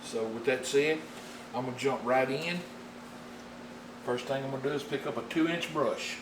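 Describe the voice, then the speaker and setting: Over noticeable background noise and audible room echo, a man with a strong Southern US accent speaks at a medium pitch and a moderate pace, with ordinary pitch variation and long, frequent pauses. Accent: thick rural Southern US. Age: 50s. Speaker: painting instructor. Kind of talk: tutorial. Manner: folksy.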